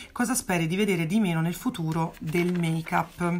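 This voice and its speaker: A woman speaks at a moderate pace. Her pitch is fairly low, and her voice is somewhat breathy. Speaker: makeup artist and beauty YouTuber; beauty vlogger. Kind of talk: casual vlog Q&A. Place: home room. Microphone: phone near.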